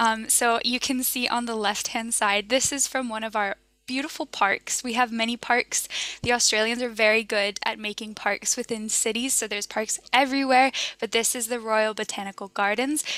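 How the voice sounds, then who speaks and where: At a moderate pace, a bright, sharp voice speaks in a monotone, flat intonation with a dry sound and no echo. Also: woman. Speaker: presenter. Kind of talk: casual presentation to a virtual audience. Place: home room.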